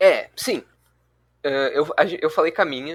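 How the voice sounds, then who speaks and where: A man speaks at a moderate pace. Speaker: student tutor leading review session. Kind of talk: online review class.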